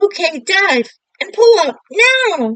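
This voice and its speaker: A woman puts on a squeaky, bubbly character voice at an extremely high pitch, swinging very widely up and down. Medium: read story.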